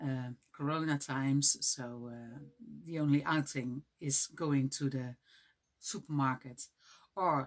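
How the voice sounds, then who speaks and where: A woman speaks at a fairly slow pace in a very deep, low pitch. Her intonation stays fairly even. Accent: Dutch. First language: Dutch. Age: 40s. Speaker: knitting vlogger. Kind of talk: casual vlog. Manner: halting, many fillers.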